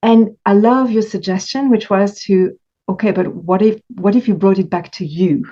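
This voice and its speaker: With a French accent, a woman speaks at a moderate pace in a dark, mellow tone of medium pitch, with ordinary pitch variation and long, frequent pauses. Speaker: coach for stress eaters. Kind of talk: interview conversation. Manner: halting.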